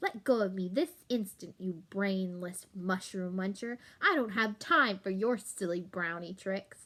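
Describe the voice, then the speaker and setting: A woman's put-on character voice at medium pitch, moderate pace with hardly any pauses, and hissing. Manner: hissing, furious.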